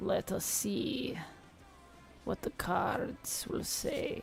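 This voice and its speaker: A raspy, put-on character voice speaks at a very slow pace. Clear music plays in the background. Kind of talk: fortune-telling, theatrical.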